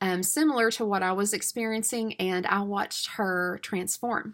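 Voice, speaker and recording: Against a silent background in a very clean recording, a woman with a Southern US accent talks at a medium pitch in a bright, sharp tone. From US South, East Tennessee. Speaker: homeschool mom and supplement seller. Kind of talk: casual sales talk to camera. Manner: chatty, many filler words.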